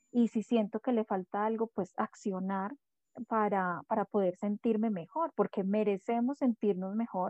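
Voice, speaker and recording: A woman with a normal speaking voice and a fairly high pitch talks at a fairly slow pace. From Colombia, Bogotá. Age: 40s. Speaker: dance therapist and astrologer. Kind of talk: interview.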